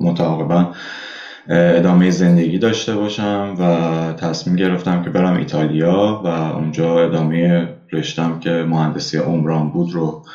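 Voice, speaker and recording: Speech in a Tehran accent comes at a fairly slow pace with monotone, flat intonation. Room echo is audible, and there is noticeable background noise. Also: man, very deep, low pitch for a man. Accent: Tehran Persian. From Iran, Tehran. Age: 20s. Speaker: emigrant, former engineering student. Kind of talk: casual interview.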